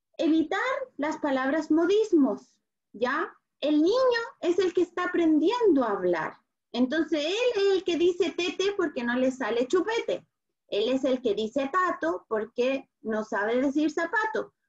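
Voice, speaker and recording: A woman speaks at an extremely high pitch. Her pitch swings very widely. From Chile. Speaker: speech therapist. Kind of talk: online talk for parents.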